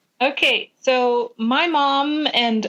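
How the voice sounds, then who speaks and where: Recorded with a dry, close sound and no echo, a woman speaks in a West Coast accent. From California, US West Coast. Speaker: tattoo artist, recovering addict. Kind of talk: testimony. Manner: halting.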